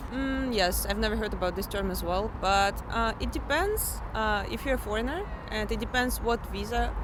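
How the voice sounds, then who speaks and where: With noticeable background noise and audible room echo, a woman speaks in a Russian accent at a moderate pace with hardly any pauses. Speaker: international student. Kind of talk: street interview.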